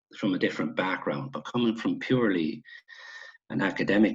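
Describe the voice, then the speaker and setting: At a moderate pace, a man talks in an Irish midlands accent. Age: 60s. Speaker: retired Gaelic football player. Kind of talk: casual interview chat.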